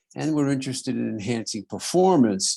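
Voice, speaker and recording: On a very clean recording with a silent background, a man with a New York accent speaks at a medium pitch. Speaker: podiatrist and radio host. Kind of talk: interview conversation.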